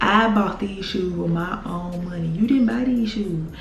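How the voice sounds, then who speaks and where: A woman with an American accent, medium pitch, ordinary pitch variation and a moderate pace, over noticeable background noise. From Mississippi. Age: 20s. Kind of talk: casual storytime talk to camera.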